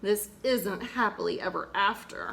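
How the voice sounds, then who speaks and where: Over clear background noise, a woman uses a put-on character voice at a medium pitch and a moderate pace. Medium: read story.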